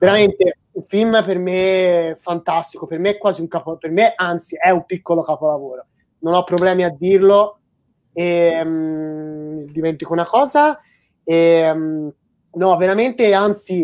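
Over a quiet background, the speech moves at a fairly slow pace with ordinary pitch variation. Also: woman, fairly low pitch for a woman. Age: 20s. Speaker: animation YouTuber hosting a live stream. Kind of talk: casual live-stream chat. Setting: online live stream. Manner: animated.

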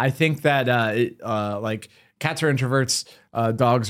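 A plain, everyday voice from a man with an American accent, medium pitch and fairly even intonation, on a very clean recording with a silent background. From US Northeast. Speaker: podcast host. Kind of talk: casual chat.

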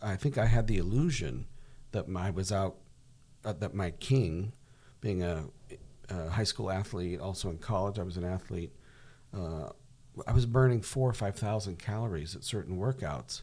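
A man's very deep, low, somewhat breathy voice with a dark, mellow tone and lively intonation, at a moderate pace broken by long, frequent pauses. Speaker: podcast co-host. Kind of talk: casual podcast discussion.

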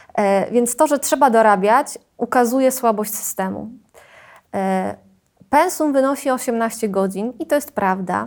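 On a very clean recording with a silent background, a woman with a normal speaking voice talks fairly slowly at a fairly high pitch, with ordinary pitch variation. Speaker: secondary school Polish teacher. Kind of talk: interview.

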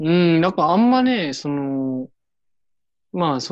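With a normal speaking voice, the speaker keeps a moderate pace and lively intonation. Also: man. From Hiroshima, Japan. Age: 20s. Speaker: local government worker volunteering abroad. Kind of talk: casual chat.

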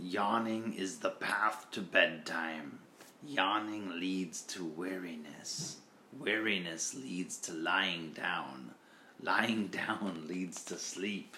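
In a put-on character voice, a man talks at a very slow pace with a very deep, low pitch over clear background noise. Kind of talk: bedtime story. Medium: read story.

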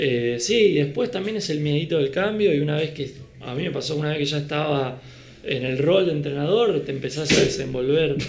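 A man with an Argentine accent talks at a fairly quick pace in a fairly high pitch with ordinary pitch variation, amid audible room echo and noticeable background noise. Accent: Rioplatense Argentine Spanish. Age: 30s. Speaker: beach volleyball coach and former player. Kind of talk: casual chat.

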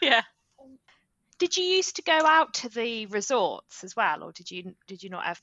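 An English accent at a moderate pace, with big swings in loudness and very wide pitch swings. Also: woman, fairly high pitch for a woman. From England. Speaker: podcast co-host. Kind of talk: casual chat.

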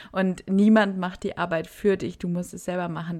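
A woman's normal speaking voice, fairly low in pitch and moderate in pace, with fairly even intonation on a very clean recording with a silent background. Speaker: podcast co-host, university student. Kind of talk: casual chat.

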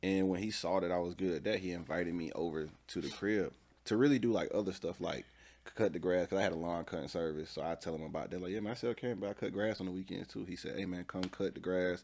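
Very deep and low, a man talks at a very fast pace with ordinary pitch variation. The recording is very clean, with a silent background. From Atlanta, Georgia. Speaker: entrepreneur. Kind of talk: casual interview.

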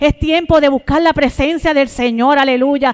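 Fairly even intonation shapes a woman's high-pitched speech. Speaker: preacher. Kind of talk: sermon. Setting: church. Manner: fervent, exclamatory; repetitive praise interjections, urgent.

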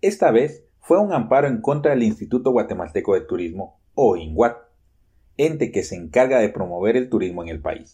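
A man talks at a moderate pace and a medium pitch, with vocal fry. His tone is dark and mellow, and his pitch swings very widely. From Guatemala. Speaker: journalist. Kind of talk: scripted narration.

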